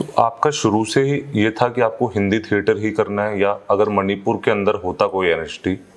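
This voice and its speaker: Against noticeable background noise, a man with a fairly low pitch speaks at a moderate pace with fairly even intonation and hardly any pauses. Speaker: theatre show host. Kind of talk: interview questions.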